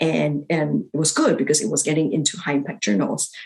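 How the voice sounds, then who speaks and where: Speaking at a fairly quick pace, a woman uses a very deep, low pitch with vocal fry and very wide pitch swings. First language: not English. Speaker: physician and academic writing coach. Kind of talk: interview. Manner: halting, with fillers.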